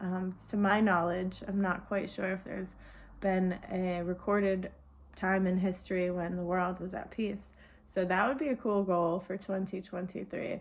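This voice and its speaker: In a Vermont accent, a woman speaks at a moderate pace and medium pitch. Her intonation is monotone and flat. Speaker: nature and spirituality video host. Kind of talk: solo talk to camera. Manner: informal, with fillers and repeats.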